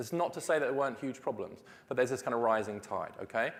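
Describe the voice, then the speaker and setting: A British-accented man with a medium-pitched voice speaks at a very fast pace with lively intonation. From Britain. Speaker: policy researcher. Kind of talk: conference talk.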